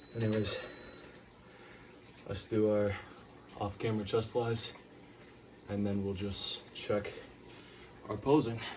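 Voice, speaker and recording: A man with a fairly low pitch speaks in a monotone, flat way at a fairly slow pace, with noticeable background noise and audible room echo. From Puerto Rican heritage. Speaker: fitness vlogger. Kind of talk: casual workout vlog.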